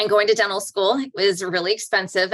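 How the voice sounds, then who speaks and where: A woman with an American accent and a bright, sharp tone at a fairly quick pace, on a very clean recording with a silent background. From US. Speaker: naval orthodontist. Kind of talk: interview.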